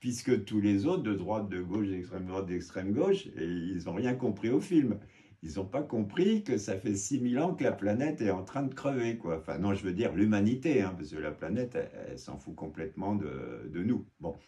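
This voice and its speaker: A man speaks with lively intonation in a dark, mellow tone. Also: moderate pace. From Germany, French military family. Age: 60s. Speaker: naturalist and author. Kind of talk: podcast interview. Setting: office. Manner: animated.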